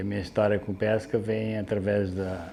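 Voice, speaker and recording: The man has a fairly low pitch and a dark, mellow tone. He speaks at a moderate pace with fairly even intonation. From southern Brazil (Aguapé, Rio Grande do Sul coast). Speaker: fisherman. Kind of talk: interview testimony.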